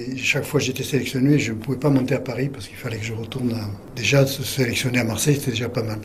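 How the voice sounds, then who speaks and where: A man's medium-pitched voice with fairly even intonation, audible room echo and noticeable background noise. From French Riviera, Provence. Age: 80s+. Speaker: retired judo teacher. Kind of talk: interview. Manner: halting.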